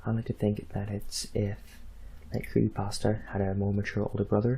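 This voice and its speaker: A man speaks in a soft-spoken way. His pace is fairly quick. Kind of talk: casual talk to camera.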